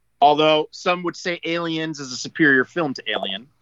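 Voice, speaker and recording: Here a man speaks at a moderate pace with a fairly high pitch. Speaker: podcast co-host, former toy company employee. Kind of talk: casual chat. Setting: video call.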